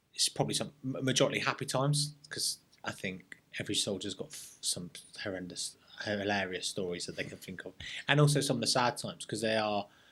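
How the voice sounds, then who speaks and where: Speaking fairly quickly with a London accent, a man with a medium-pitched, bright and sharp voice uses lively intonation and big swings in loudness. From North London, England. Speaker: serving soldier. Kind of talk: casual interview chat. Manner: halting, repeats words.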